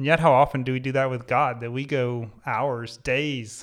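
On a very clean recording with a silent background, a man speaks in a medium pitch at a moderate pace. He has an unremarkable speaking voice. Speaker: podcast host. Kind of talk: casual chat.

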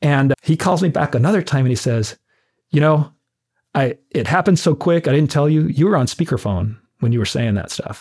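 On a very clean recording with a silent background, a man with an American accent talks at a fairly quick pace. His voice is somewhat breathy and fairly high in pitch, with lively intonation. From Arizona, US (Tucson). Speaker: fire chief. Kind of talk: interview. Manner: halting.

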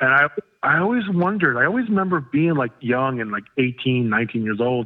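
With an American accent, a man speaks at a moderate pace and medium pitch, with ordinary pitch variation. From Florida. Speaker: hardcore punk musician. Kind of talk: casual interview chat. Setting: phone call.

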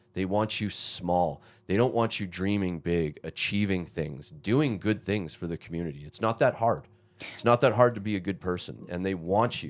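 A man speaks at a moderate pace in a very deep, low voice, with ordinary pitch variation. The recording is very clean, with a silent background. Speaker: stand-up comedian. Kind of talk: casual comedic interview chat. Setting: podcast conversation.

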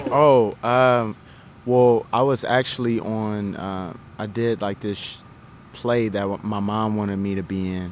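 Here a man with an ordinary speaking voice talks at a fairly slow pace and fairly low pitch, with fairly even intonation. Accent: American. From Indiana, Indianapolis. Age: 20s. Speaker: aspiring actor and dancer. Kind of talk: interview. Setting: drop-in center.

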